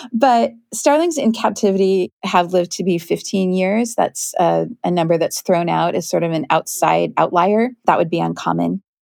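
The recording is very clean, with a silent background. A woman speaks at a moderate pace with hardly any pauses. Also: dry, close sound with no echo. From US Pacific Northwest (Kent, near Seattle). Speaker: naturalist and author. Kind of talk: interview.

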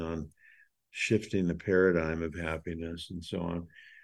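A dark, mellow tone stands out over a quiet background. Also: man. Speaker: podcast host. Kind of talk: casual chat.

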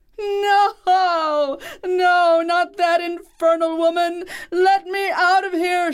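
This is a put-on character voice, shrill and extremely high in pitch. It moves at a very slow pace with a monotone, flat intonation. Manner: shrieking in terror.

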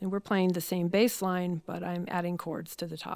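A woman talks in a normal speaking voice at a medium pitch, with fairly even intonation. The recording is very clean, with a silent background. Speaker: harpsichordist. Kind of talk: casual interview chat.

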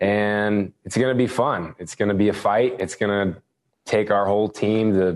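Against a quiet background, a man with a plain, everyday voice speaks at a moderate pace in a fairly low pitch. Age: young. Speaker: college basketball player. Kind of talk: interview.

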